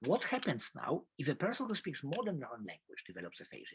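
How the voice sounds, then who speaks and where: Very fast speech from a man with a Polish accent, dry and close with no echo. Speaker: professor. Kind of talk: lecture. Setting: video call.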